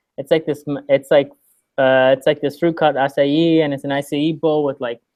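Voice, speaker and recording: A man speaks at a fairly quick pace. His voice sits fairly high in pitch. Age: 20s. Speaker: podcast co-host. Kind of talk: casual chat. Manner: loud; animated.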